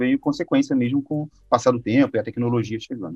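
This is a plain, everyday voice at a fairly quick pace with ordinary pitch variation, recorded dry and close with no echo. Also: man. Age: 30s. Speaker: presentation design instructor. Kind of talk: casual interview.

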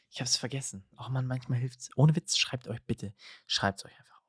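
A dry, close recording with no echo, very clean and set against a silent background. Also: man. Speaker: podcast host. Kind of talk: casual chat. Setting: indoors at home, window open. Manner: hesitant, many filler sounds.

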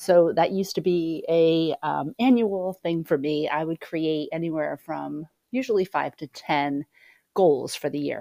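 A woman speaks at a fairly slow pace with fairly low pitch and ordinary pitch variation. It is an unremarkable speaking voice. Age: 50s. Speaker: podcast host, sound healer. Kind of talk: solo podcast monologue. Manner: casual with frequent fillers.

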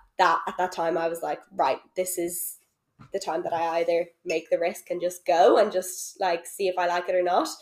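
With a Dublin accent, a woman with a fairly low pitch speaks at a moderate pace in a monotone, flat intonation. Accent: Dublin Irish. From Ireland, Dublin. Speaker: social worker and coach. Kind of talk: casual chat. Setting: at home on a sofa.

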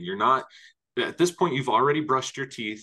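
Over a quiet background, a man talks in a bright, sharp tone at a fairly high pitch. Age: 30s. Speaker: podcast host and herbal alchemist. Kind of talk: casual interview chat.

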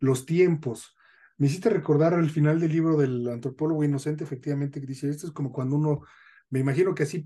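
A man talks very fast in a fairly high, somewhat breathy voice with a dark, mellow tone and fairly even intonation. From northern Mexico. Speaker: podcast host, sociologist. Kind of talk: casual chat.

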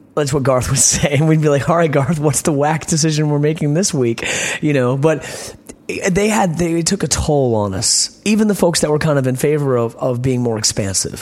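A man with a fairly high pitch and an American accent speaks at a moderate pace, with ordinary pitch variation and very even loudness. Noticeable background noise is present. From Virginia, US South. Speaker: punk band lead singer. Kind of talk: casual interview. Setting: backstage at a concert venue. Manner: soft-spoken; reflective, rambling.

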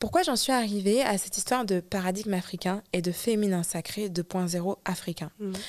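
A woman speaks in a normal speaking voice at a medium pitch with ordinary pitch variation. She keeps a moderate pace with hardly any pauses on a very clean recording with a silent background. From France. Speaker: singer and spiritual healer. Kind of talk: interview. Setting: studio.

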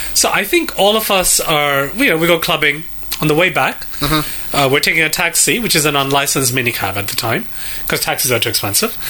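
Amid noticeable background noise, a man talks at a very fast pace with lively intonation and a fairly high pitch. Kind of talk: casual banter.

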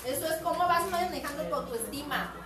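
An animated voice at a moderate pace comes through audible room echo and noticeable background noise. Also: woman. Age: 50s. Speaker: teacher. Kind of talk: lecture. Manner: loud.

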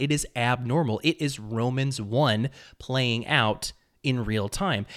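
Using an unremarkable speaking voice, a man talks at a medium pitch with ordinary pitch variation. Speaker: commentary podcaster. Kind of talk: angry rant, indignant preacher-like denunciation with scornful name-calling. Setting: studio, reacting to a video clip. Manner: vehement, contemptuous, sermonizing.

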